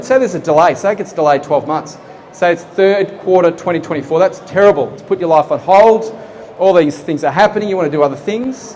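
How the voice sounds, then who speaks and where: A man with an Australian accent talks at a fairly quick pace in a high voice with ordinary pitch variation. Noticeable background noise can be heard. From Australia, Geelong. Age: 40s. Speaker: property project manager. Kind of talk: seminar presentation. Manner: conversational, engaging audience.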